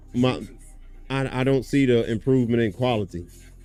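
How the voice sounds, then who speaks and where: Monotone, flat delivery over music in the background. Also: man. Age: middle-aged. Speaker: gaming streamer. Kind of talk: casual live-stream chat. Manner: slurred speech.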